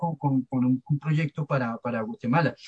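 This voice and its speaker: A man speaks with a Bogotá accent, his voice somewhat breathy. His pitch varies in an ordinary way, and the sound is dry and close with no echo. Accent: Bogotá Colombian Spanish. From Colombia, Bogotá. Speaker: archivist, head of archivists' society. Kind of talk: panel discussion.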